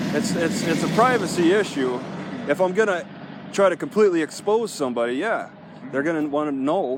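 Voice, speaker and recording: Amid noticeable background noise, a man with a high pitch speaks at a fairly quick pace and lively intonation. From US Midwest, Wisconsin. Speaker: First Amendment auditor. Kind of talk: casual conversation with police officer. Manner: halting, many repetitions and fillers.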